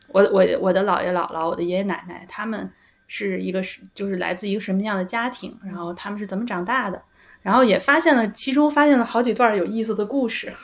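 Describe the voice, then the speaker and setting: A woman's medium-pitched voice races along at a very fast pace. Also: ordinary pitch variation. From Beijing. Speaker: psychological counselor. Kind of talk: casual chat.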